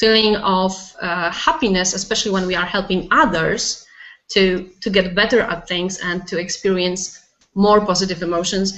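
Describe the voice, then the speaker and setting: In a Polish accent, a woman of medium pitch talks at a moderate pace with fairly even intonation. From Poland. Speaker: life coach. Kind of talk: casual interview. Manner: hesitant, searching for words.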